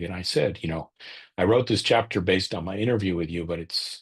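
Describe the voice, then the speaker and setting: Against a quiet background, a man speaks in a very deep, low voice with ordinary pitch variation. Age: 60s. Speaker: author and business consultant. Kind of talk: webinar interview answer. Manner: halting, many restarts.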